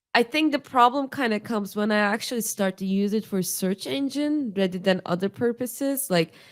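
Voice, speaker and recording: A woman with a non-native accent at a fairly high pitch, lively in intonation, at a fairly quick pace. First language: not English. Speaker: podcast co-host. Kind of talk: casual chat.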